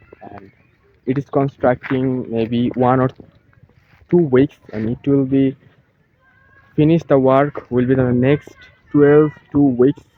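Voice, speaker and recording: Speaking very slowly with long, frequent pauses, a man keeps his intonation fairly even. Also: medium pitch for a man. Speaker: English teacher. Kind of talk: outdoor vlog lesson.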